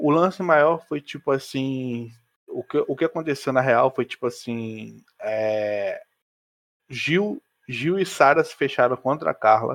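A man speaks at a very slow pace with fairly high pitch and ordinary pitch variation. The sound is dry and close, with no echo. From Rio de Janeiro, Brazil. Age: 20s. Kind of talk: casual chat.

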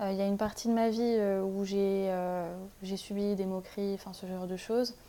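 This woman talks at a moderate pace with a medium pitch. Her tone is dark and mellow, and her intonation stays fairly even. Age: 20s. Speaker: master's student. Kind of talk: casual interview.

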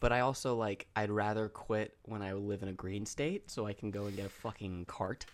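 A man has an unremarkable speaking voice at a fairly low pitch. He keeps a moderate pace and fairly even intonation with hardly any pauses. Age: 20s. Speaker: podcast co-host. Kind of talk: casual chat.

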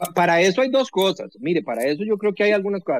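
Recorded dry and close with no echo, a man speaks at a high pitch. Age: 40s. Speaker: technology expert and former science minister. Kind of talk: radio interview. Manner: halting, frequent repetitions and fillers.

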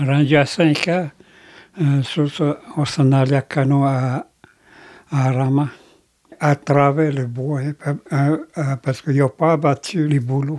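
A man speaks at a very slow pace with long, frequent pauses. His fairly high voice stays monotone and flat. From Quebec, Grand Lac Victoria (Anishinabe). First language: Algonquin (Anishinabemowin) (speaking French). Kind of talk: testimony. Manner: halting.

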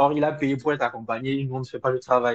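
Over a quiet background, a man talks at a moderate pace and a medium pitch. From Togo. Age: 20s. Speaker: corporate lawyer. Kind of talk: interview. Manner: hesitant.

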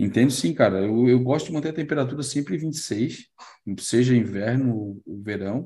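A man's dark, mellow voice at medium pitch, moderate pace and ordinary pitch variation. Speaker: live stream host, marine aquarium hobbyist. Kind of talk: casual chat, live stream. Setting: online live stream.

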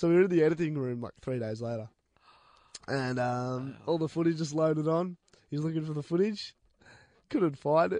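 This man has an Australian accent and a fairly high pitch with ordinary variation. He leaves long, frequent pauses. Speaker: radio host. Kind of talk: casual chat. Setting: studio.

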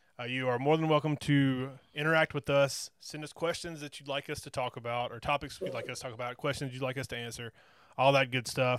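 With a Southern US accent, a man speaks at a medium pitch with fairly even intonation, on a very clean recording with a silent background and a dry, close sound with no echo. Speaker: wrestling podcast host. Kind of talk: casual chat.

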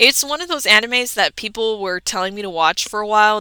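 A woman speaks at a fairly quick pace with an animated tone and ordinary pitch variation. Her bright, sharp voice comes through on a very clean recording with a silent background. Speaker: podcast host. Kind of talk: casual monologue.

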